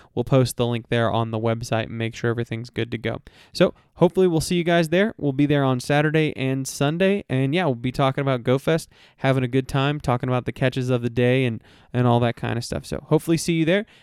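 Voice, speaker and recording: With an American accent, the man speaks very fast at a medium pitch, using ordinary pitch variation. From Texas (Houston). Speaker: podcast host. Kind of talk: casual chat; announcement.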